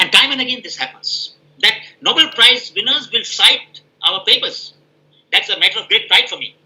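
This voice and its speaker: A man with an Indian accent speaks at a moderate pace in a bright, sharp tone. His loudness swings widely, and he takes long, frequent pauses. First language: Hindi. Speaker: professor. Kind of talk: Q&A answer in an online scientific meeting.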